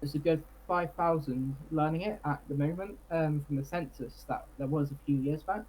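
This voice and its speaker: The speaker uses a Cornish accent at a moderate pace. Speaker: Cornish rights activist. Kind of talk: interview.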